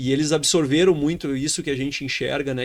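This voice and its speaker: Talking at a fairly quick pace, a man with a fairly high pitch and fairly even intonation has a plain, everyday voice, captured in a very clean recording with a silent background. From Brazil, Rio Grande do Sul. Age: 30s. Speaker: grain trading entrepreneur. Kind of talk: podcast interview.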